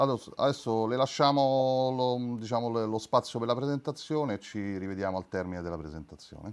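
Here a man speaks with a Roman accent. His pace is fairly quick. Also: ordinary pitch variation. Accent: Roman Italian. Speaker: webinar moderator. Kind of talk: casual chat. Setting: video call. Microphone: video call.

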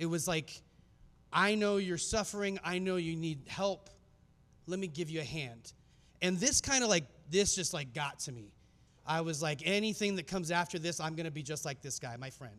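High-pitched for a man, this voice with an American accent shows ordinary pitch variation. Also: moderate pace. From US Southwest, Phoenix, Arizona. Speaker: filmmaker and speaker; presenter. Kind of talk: conference talk. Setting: stage with audience. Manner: casual, many filler words. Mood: earnest, reflective storytelling. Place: hall. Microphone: handheld.

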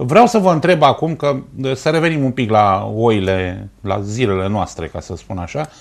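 A man talks with very wide swings in pitch over a quiet background. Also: fairly slow pace. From Romania, Ploiești; Romania. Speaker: sports TV host. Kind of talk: TV talk show interview. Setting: TV studio. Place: studio.

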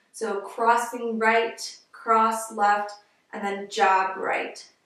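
There is audible room echo as a woman speaks. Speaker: exercise instructor intern. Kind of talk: tutorial. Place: home room. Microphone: camera far.

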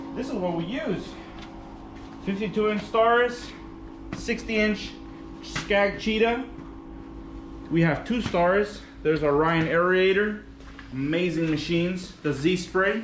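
With long, frequent pauses, a man speaks at a fairly slow pace in a high voice with ordinary pitch variation, amid audible room echo and light background noise. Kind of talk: casual vlog tour. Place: garage.

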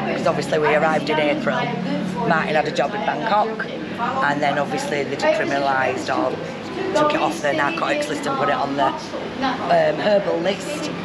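Loud background noise behind a woman's moderate pace. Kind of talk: interview answer. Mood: upbeat, chatty. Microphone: phone near.

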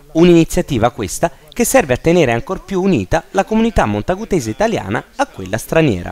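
A man's fairly high voice at a fairly quick pace, full of very wide pitch swings, over noticeable background noise. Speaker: news presenter. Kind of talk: TV news feature narration.

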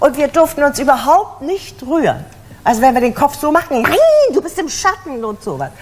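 At a moderate pace, a woman with a high pitch and lively intonation speaks over light background noise. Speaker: voice actress and stage actress (dubbed German television series). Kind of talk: interview answer. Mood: lively, humorous storytelling. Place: studio.

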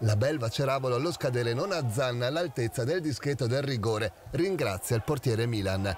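Fairly quick and animated, the delivery is dramatic with lively intonation and very even loudness. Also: man, medium pitch for a man. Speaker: sports commentator. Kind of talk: sports commentary, recorded voiceover of match highlights. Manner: animated, fast-paced, punchy, dramatic delivery.

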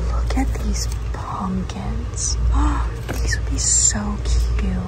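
Over loud background noise, the speech moves at a very slow pace. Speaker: craft vlogger shopping. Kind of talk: casual vlog chat. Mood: excited, enthusiastic. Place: shop. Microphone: phone near.

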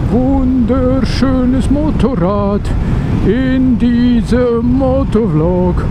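The speech moves at a very slow pace. Loud background noise fills the recording. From Switzerland. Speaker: motovlogger. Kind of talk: casual motorcycle vlog commentary. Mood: enthusiastic. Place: motorbike. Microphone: helmet.

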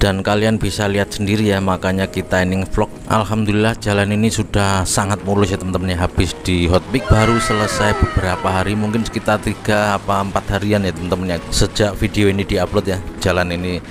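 Over noticeable background noise, a man speaks very fast in a fairly low, flat monotone with hardly any pauses. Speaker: motovlogger. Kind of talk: casual vlog commentary. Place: motorbike.

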